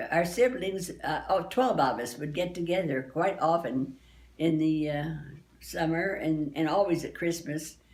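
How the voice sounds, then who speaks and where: This woman talks at a fairly slow pace in a fairly low voice with ordinary pitch variation. Audible room echo surrounds her speech. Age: 80s+. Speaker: family elder. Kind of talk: reminiscing interview. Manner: halting, with repetitions.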